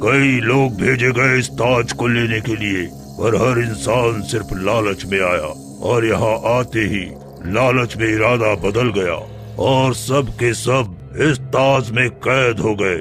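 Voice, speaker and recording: Clear music plays behind a man at medium pitch. He does a cartoonish character voice at a fairly slow pace. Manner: commanding, grand.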